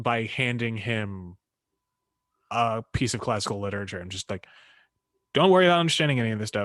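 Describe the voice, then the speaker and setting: In a Philadelphia accent, a man at a medium pitch talks at a fairly quick pace with lively intonation, big swings in loudness, and long, frequent pauses. The background is quiet, and the sound is dry and close with no echo. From Philadelphia area, US. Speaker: podcast host, karate practitioner. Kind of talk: casual chat.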